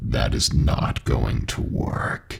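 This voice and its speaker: This man uses a put-on character voice that comes out raspy. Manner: demonic.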